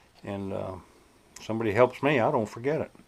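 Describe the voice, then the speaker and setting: A man's voice sits at a medium pitch, rising and falling in an ordinary way as he talks at an unhurried, moderate speed. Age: 60s. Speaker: RC hobbyist video host. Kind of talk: casual hobby vlog talk.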